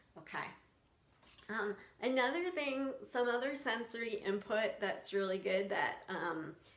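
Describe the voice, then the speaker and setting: This woman speaks with an American accent. There is audible room echo in the recording. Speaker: skin picking coach. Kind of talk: casual tutorial. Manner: casual, hesitant with fillers.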